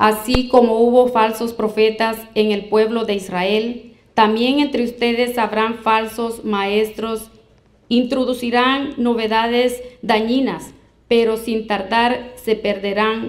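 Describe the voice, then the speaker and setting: At a very slow pace, a woman talks in a monotone with flat intonation. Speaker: scripture reader in a debate. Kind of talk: reading aloud. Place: hall.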